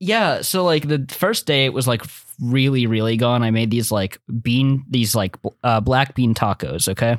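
A man speaks in a normal speaking voice at a medium pitch, with ordinary pitch variation and very even loudness at a moderate pace. The recording is very clean and dry, close with no echo, over a silent background. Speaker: podcast host. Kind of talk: casual chat.

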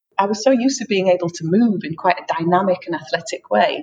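A somewhat breathy woman with an English accent, medium pitch, lively intonation, and a fairly quick pace. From England. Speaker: freelance writer. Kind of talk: interview.

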